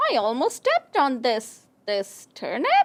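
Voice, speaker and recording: A female-sounding, cartoonish character voice is heard. It moves at a moderate pace. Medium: puppet. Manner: excited, bouncy.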